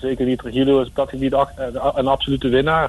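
A man at medium pitch and a moderate pace. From Netherlands, Kerkrade (Limburg). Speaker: former footballer and youth coach. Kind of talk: radio interview.

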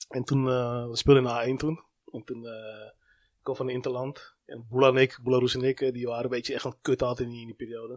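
A man talks at a very fast pace with monotone, flat intonation and big swings in loudness. The sound is dry and close with no echo, on a very clean recording with a silent background. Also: medium pitch for a man. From Amsterdam, Netherlands. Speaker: sports agent, former youth footballer and coach. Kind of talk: casual chat.

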